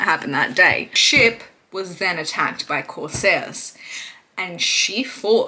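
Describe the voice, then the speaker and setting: A woman speaks in a normal speaking voice at medium pitch. Her intonation is lively and her pace fairly slow. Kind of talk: history storytelling to camera. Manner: casual, irreverent.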